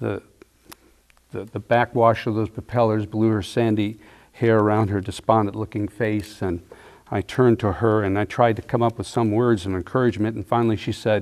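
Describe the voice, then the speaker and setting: A man with an American accent, fairly low in pitch, in a monotone, flat intonation at a moderate pace. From United States. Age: 70s. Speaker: storyteller recounting his life. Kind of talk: personal testimony storytelling.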